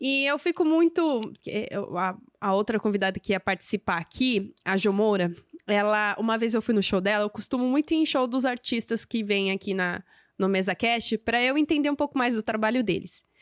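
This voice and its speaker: On a very clean recording with a silent background and a dry, close sound with no echo, a woman speaks in a normal speaking voice at fairly high pitch and moderate pace, her intonation lively and her loudness very even. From São Paulo state interior, Brazil. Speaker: podcast host, journalism student. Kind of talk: interview conversation.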